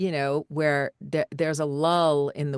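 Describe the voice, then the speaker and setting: A woman's very deep, low voice with an American accent, very slow and fairly even in intonation, dry and close with no echo. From Middle Tennessee, USA. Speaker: voice-over actor and coach. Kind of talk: live Q&A coaching talk. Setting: live video call.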